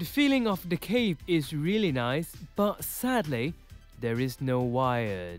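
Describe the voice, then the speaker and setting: Music plays in the background as a man talks at a fairly slow pace. His fairly high voice makes very wide pitch swings. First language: not English. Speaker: toy collector and reviewer. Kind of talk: casual toy review voice-over.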